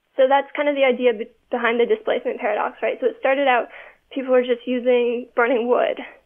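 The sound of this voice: Speaking at a fast pace, a woman holds a fairly high pitch with little pitch movement.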